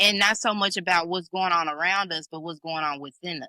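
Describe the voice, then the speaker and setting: A woman with a strong Memphis accent, fairly low pitch, ordinary pitch variation and a bright, sharp tone at a moderate pace, in a dry, close sound with no echo on a very clean recording with a silent background. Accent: Memphis Southern accent, strong. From Memphis, Tennessee. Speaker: singer-songwriter and podcast host. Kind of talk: casual chat.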